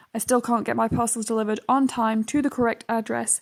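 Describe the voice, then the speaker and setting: A woman with a British accent talks at a fairly quick pace and a fairly high pitch. Her intonation is monotone and flat, and the recording is very clean with a silent background. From UK. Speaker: youtuber. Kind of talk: casual chat. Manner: hesitant fillers.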